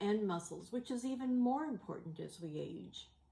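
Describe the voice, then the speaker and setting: A woman speaks at a fairly slow pace with lively intonation. Her voice is somewhat breathy, with a dark, mellow tone. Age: 70s. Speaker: health vlogger living with kidney disease. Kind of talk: casual talk to camera.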